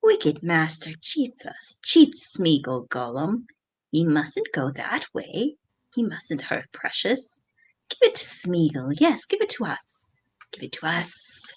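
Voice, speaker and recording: A whiny, put-on character voice at middle pitch, hissing and fairly slow in pace. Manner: hissing, wheedling, whining.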